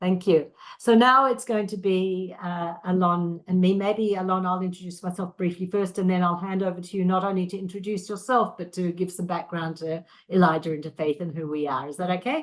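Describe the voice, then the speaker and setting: Against a quiet background, a woman with a slight Australian accent speaks in a medium pitch. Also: ordinary pitch variation, fairly quick pace. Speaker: interfaith educator. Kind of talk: video call self-introduction. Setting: video call.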